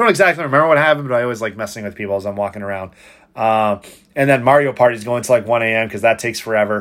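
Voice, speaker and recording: At a very fast pace, the speaker shows ordinary pitch variation on a very clean recording with a silent background. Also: man, medium pitch for a man. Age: 30s. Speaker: esports event organizer and podcaster. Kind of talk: casual solo monologue recap. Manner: unedited, conversational with many fillers.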